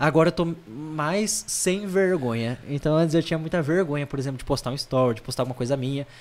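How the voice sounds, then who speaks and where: An ordinary speaking voice, this man talks at a fairly quick pace with a fairly high pitch and ordinary pitch variation. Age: 20s. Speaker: seminarian. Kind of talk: casual interview.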